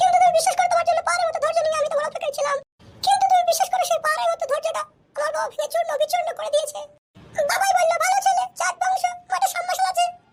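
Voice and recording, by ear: A woman's cartoonish character voice, extremely high-pitched, with very wide pitch swings and a very fast pace.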